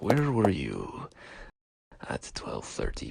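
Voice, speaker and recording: A man puts on a character voice. It sounds raspy, at a medium pitch. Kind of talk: dialogue in animated mystery film. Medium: cartoon.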